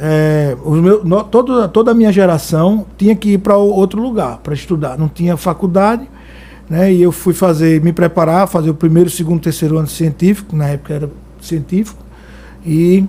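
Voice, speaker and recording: A man speaks at a high pitch with ordinary pitch variation. His pace is moderate, and there is noticeable background noise. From Brazil, Alagoas interior (Delmiro Gouveia / Água Branca). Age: 30s. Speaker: political candidate, biomedical lab owner. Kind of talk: podcast interview.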